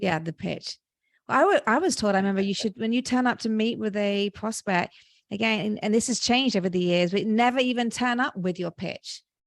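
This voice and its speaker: With a British accent, a woman speaks fairly quickly at a fairly high pitch with ordinary pitch variation, in a dry, close recording with no echo and a quiet background. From Britain. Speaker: podcast host. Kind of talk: podcast interview.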